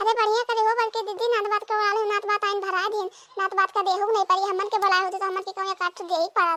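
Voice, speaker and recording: In a dry, close sound with no echo, a woman does a cartoonish character voice at an extremely high pitch, flat and monotone, at a very fast pace. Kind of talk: village comedy cartoon. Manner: teasing, quick.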